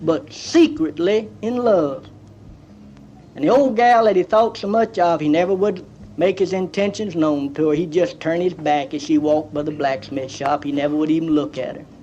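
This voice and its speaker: A man talks at a high pitch in an East Texas accent. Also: lively intonation, moderate pace. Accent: East Texas Southern. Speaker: comedian. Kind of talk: comedy storytelling album. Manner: folksy, rambling.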